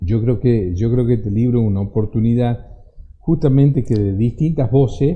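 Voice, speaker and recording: The pace is moderate, with ordinary pitch variation. Loudness stays very even throughout. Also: man, medium pitch for a man. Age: 60s. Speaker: lawyer and author, former security minister. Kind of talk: radio interview. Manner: halting, repeats words.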